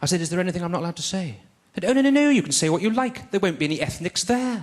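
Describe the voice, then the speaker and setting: In an English accent, the speech comes at a very fast pace with very wide pitch swings. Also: man, high pitch for a man. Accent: posh English accent, speaks properly. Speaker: stand-up comedian. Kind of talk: stand-up. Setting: stage with audience. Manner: clear enunciation; hesitant fillers, um and uh.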